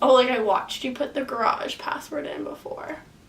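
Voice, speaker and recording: A woman puts on a raspy character voice, pitched high. She delivers it at a fairly quick pace. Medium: solo performance.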